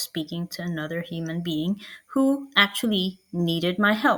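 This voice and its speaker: At a fairly slow pace, a woman with a non-native accent talks at a medium pitch. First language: not English. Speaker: marketing coach. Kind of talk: online workshop. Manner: casual with filler words.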